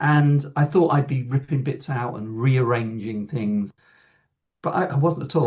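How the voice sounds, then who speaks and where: A man's medium-pitched, somewhat breathy voice shows ordinary pitch variation. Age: 60s. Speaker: composer. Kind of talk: casual chat.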